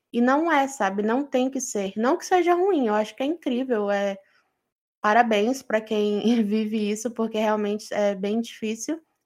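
Fairly high in pitch, this woman has a plain, everyday voice. She talks at a fairly slow pace with ordinary pitch variation. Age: 20s. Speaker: podcast co-host. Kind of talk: casual chat.

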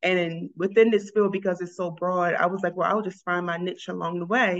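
The speaker has an ordinary speaking voice with an American accent and fairly even intonation. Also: woman. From Baltimore, Maryland. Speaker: social worker, college advisor. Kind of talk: interview.

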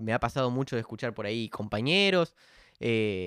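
This man talks at a fairly quick pace and medium pitch. His intonation is lively. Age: 20s. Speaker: podcast host. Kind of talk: solo podcast monologue. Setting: standing at home mic. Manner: hesitant, filler-heavy.

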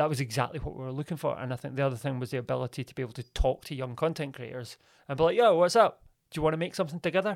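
A very fast man's voice in a Glaswegian accent, fairly high in pitch with ordinary variation, in a very clean recording with a silent background. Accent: Glaswegian Scottish. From Scotland, Glasgow. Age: 30s. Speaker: radio presenter and media producer. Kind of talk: casual interview.

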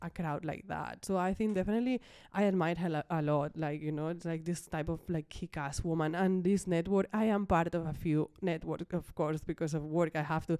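Speaking at a fairly quick pace, a woman uses a fairly low pitch. Her tone is dark and mellow. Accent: Spanish. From Ibiza, Spain. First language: Spanish. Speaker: interior designer. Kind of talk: interview. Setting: studio.

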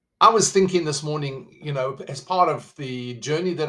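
A man speaks with a South African accent. His pitch is fairly high. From South Africa, living in the USA. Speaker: podcast host. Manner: conversational, motivational.

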